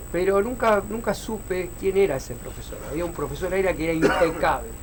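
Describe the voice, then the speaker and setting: A man with a Rioplatense accent speaks at a fairly quick pace in a high pitch, with ordinary pitch variation. Noticeable background noise and audible room echo are present. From Argentina, Buenos Aires western suburbs (Hurlingham). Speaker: taekwondo master. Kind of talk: interview.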